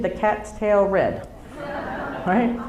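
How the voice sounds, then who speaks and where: A woman with a New Jersey accent speaks at a moderate pace and a medium pitch. Noticeable background noise and audible room echo fill the recording. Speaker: comedian. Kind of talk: stand-up. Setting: stage with audience.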